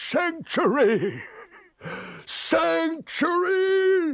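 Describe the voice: A man puts on a character voice at an extremely high pitch with vocal fry and big pitch swings. He talks at a very slow pace.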